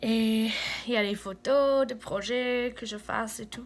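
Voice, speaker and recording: A woman speaks with a fairly high pitch. Her intonation stays fairly even. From United States. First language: English (speaking French). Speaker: vlogger, former volunteer in Cameroon. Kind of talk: casual vlog talk to camera. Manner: halting, many hesitations.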